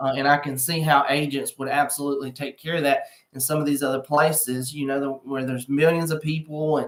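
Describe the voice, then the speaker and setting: Someone with a Southern US accent speaks at a fairly quick pace. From US South. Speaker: realtor. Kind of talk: live stream real estate update. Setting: furniture store, live stream. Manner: casual, filler-heavy. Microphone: laptop mic instead of usual microphone.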